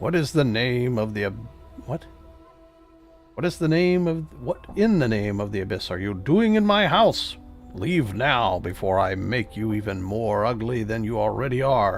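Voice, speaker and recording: A man in a put-on character voice speaks loud and booming at a medium pitch, with lively intonation and a moderate pace. Clear music plays in the background. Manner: angry, threatening.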